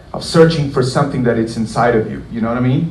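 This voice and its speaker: A man with a Portuguese accent speaks at a medium pitch, with noticeable background noise and audible room echo. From southern Brazil. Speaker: guitarist. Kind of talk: guitar clinic Q&A talk. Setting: concert hall with audience. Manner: casual, many fillers.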